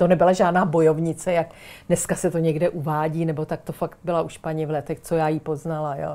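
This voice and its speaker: A woman's dark, mellow voice on a very clean recording with a silent background. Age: 60s. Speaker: writer and former teacher. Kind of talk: casual chat.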